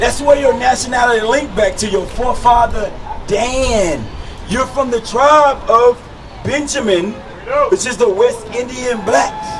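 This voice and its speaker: Crowd noise fills the background as a man speaks at a fairly slow pace in an animated tone. His pitch is extremely high, with ordinary variation. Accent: American. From United States. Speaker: street preacher. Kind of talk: preaching.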